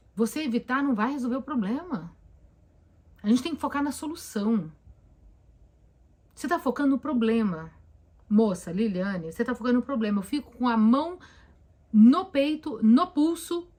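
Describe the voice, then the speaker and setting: A woman at a high pitch with a dark, mellow tone, very wide pitch swings, and a moderate pace. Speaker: therapist. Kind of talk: live stream Q&A talk. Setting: live stream on camera. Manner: conversational, with hesitations.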